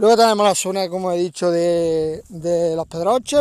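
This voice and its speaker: In a very clean recording with a silent background, a man with a high pitch and a dark, mellow tone speaks at a moderate pace with ordinary pitch variation. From Córdoba, Andalusia, Spain. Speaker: podcaster. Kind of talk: casual monologue.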